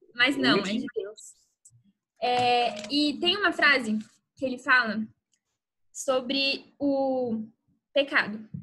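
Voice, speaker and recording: In a raised, projected voice with a bright, sharp tone, a woman speaks at a high pitch with ordinary pitch variation. Her pace is very slow, with long, frequent pauses. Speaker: youth church speaker. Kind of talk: youth Bible talk. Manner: casual, conversational.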